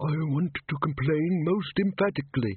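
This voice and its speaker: A man's put-on character voice, fairly high in pitch, with ordinary pitch variation and a moderate pace. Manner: emphatic, complaining.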